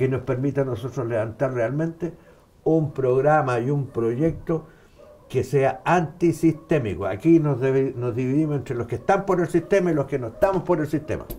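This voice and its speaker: Somewhat breathy, a man speaks at a fairly high pitch with ordinary pitch variation. His tone is dark and mellow, at a moderate pace. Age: 70s. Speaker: former political bodyguard, activist. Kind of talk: interview.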